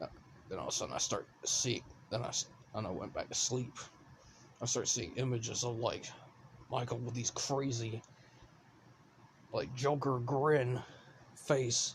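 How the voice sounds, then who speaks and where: A man does a put-on character voice, raspy and at medium pitch, with fairly even intonation at a moderate pace. Long, frequent pauses break it up, and background noise is clear. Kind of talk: casual scary story telling. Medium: solo performance. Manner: rambling, halting, restarts words.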